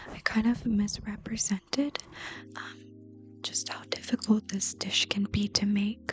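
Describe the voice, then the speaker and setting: Someone whispers at a fairly slow pace with music in the background. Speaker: ASMR creator, home cook. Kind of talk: ASMR-style cooking tutorial, soft-spoken explanation. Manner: whispered, soft-spoken.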